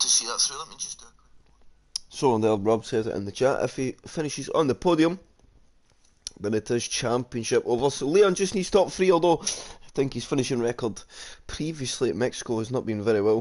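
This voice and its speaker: The speaker has a Scottish accent, lively intonation and a fairly quick pace. Loudness swings widely, and the background is quiet. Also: man, medium pitch for a man. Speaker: sim racing league commentator. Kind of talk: live commentary. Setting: live stream.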